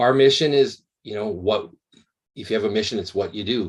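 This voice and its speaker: Speaking with a Canadian accent over a quiet background, a man shows ordinary pitch variation. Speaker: emergency medicine professor. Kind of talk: lecture. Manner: slow, articulate.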